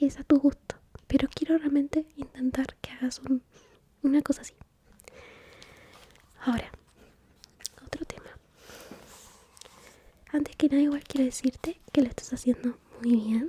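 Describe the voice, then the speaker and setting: A woman with a high voice and a gentle tone speaks at a moderate pace in a flat monotone, leaving long, frequent pauses. Her loudness swings widely, and the sound is dry and close with no echo. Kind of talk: ASMR therapy roleplay, soft-spoken. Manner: soft-spoken, caring, gentle.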